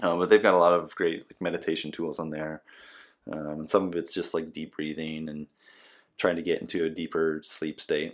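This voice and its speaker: On a very clean recording with a silent background, a man with an American accent and a very deep, low pitch talks at a fairly quick pace, monotone and flat in intonation but with big swings in loudness. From Nebraska. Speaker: physical therapist and podcast host. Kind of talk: casual interview. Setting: at home.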